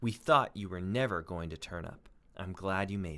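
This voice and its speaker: Growling in a put-on character voice, a man speaks at a moderate pace with a very deep, low pitch. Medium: read story.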